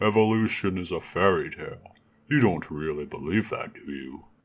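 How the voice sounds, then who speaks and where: A man puts on a character voice with a fairly low pitch, speaking at a moderate pace. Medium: read story. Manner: warm, calm, kindly.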